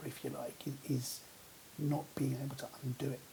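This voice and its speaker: A man with a British accent, fairly high in pitch, with fairly even intonation. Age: 50s. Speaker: vlogger. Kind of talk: personal vlog monologue. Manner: halting, many repetitions and fillers.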